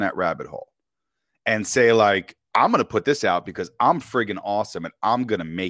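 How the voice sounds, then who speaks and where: A man talks with a New York accent in an animated tone. The sound is dry and close, with no echo. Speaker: author and podcaster. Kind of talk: casual chat. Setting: online call. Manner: loud.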